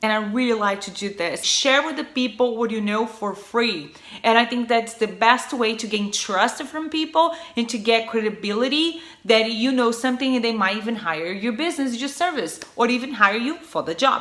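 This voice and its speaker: Speaking with a Brazilian Portuguese accent, a woman uses a fairly high pitch and lively intonation at a moderate pace, with noticeable background noise. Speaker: marketer, video creator. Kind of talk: tutorial.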